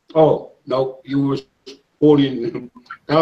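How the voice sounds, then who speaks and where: A man talks fairly slowly, his intonation fairly even, as music plays in the background. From Samoa. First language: Samoan. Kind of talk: casual group discussion. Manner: halting, repeats words.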